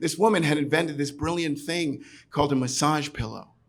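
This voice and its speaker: This man talks at a very fast pace. He has a New York accent. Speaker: storyteller. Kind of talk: live storytelling performance. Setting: pub stage. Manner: garrulous.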